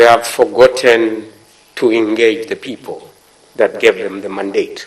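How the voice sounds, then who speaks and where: A man with a non-native accent speaks at a fairly slow pace, his loudness swinging widely. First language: not English. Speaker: member of parliament. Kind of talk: parliamentary debate speech. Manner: formal.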